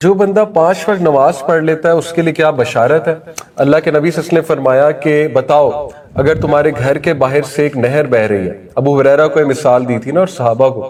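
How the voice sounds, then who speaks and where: A man's fairly high voice, showing ordinary pitch variation, comes through noticeable background noise. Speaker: Islamic preacher. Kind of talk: Islamic sermon (bayan) to an audience. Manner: conversational, explanatory, mixes Urdu with many English words.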